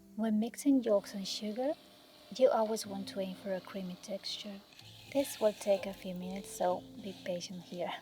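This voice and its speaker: A soft-spoken voice comes through with music in the background. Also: moderate pace. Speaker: home baker. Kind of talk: cooking tutorial narration.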